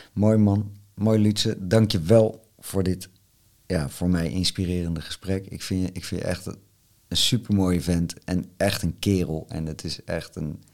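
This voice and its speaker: A man's very deep, low voice at a fairly slow pace, with fairly even intonation, on a very clean recording with a silent background. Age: 50s. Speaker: podcast host. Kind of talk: interview.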